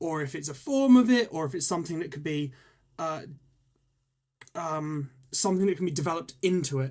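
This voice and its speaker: The recording is very clean, with a silent background. A man speaks at a high pitch with ordinary pitch variation. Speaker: tarot reader. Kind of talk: live stream tarot reading. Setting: live stream. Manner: fast; hesitant, many ums and ers.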